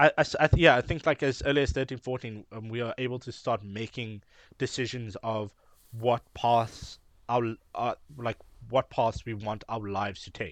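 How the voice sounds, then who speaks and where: An ordinary speaking voice from a man at a medium pitch and moderate pace, with fairly even intonation and big swings in loudness, the sound dry and close with no echo over a quiet background. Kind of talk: casual chat.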